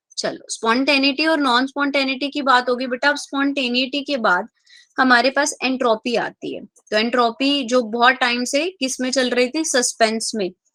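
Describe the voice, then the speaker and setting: A woman's high, bright, sharp voice at a fairly slow pace, hardly any pauses, fairly even intonation, dry and close with no echo. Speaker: chemistry teacher. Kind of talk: online class lecture. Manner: speaking softly.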